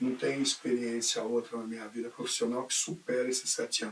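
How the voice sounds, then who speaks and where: A man's voice makes very wide pitch swings. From Brazil, São Paulo. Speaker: teacher and school coordinator. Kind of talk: oral history interview.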